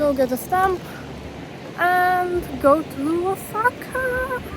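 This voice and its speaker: A woman with a Polish accent talks at a very slow pace, her pitch extremely high and her intonation lively. Noticeable background noise runs underneath. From Poland. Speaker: travel vlogger. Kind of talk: travel vlog. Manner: animated.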